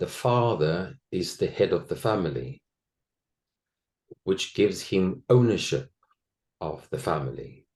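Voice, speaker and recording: With a South African accent, a man speaks fairly slowly in a fairly low voice with vocal fry, very wide pitch swings, and long, frequent pauses. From South Africa, Afrikaner household. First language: Afrikaans. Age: 60s. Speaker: former actor, interviewee on abuse recovery. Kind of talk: personal testimony interview.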